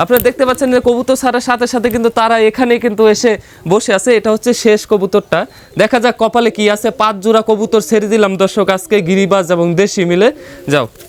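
A man with a high pitch and fairly even intonation keeps a very even loudness, in a dry, close sound with no echo. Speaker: pigeon farm video presenter. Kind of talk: vlog tutorial.

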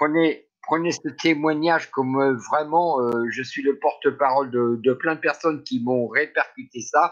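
Speaking at a very slow pace, a man keeps a fairly high pitch and fairly even intonation. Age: 60s. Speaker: community member, former communications worker. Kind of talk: casual chat. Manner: halting.

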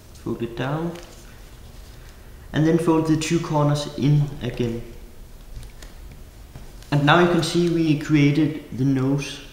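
A man speaks at a very slow pace with long, frequent pauses and fairly even intonation. Audible room echo surrounds his voice. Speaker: origami designer. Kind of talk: craft tutorial instructions.

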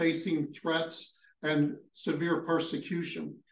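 A man talks amid audible room echo and light background noise. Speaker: ministry school host. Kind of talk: panel discussion and prayer. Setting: live session with online audience. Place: home room.

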